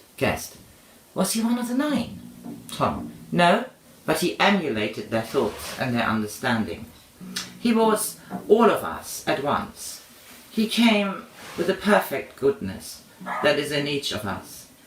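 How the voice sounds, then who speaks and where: Noticeable background noise accompanies a fairly slow delivery full of very wide pitch swings and long, frequent pauses. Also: man, high pitch for a man. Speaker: audiobook reader. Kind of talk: reading aloud. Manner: loud.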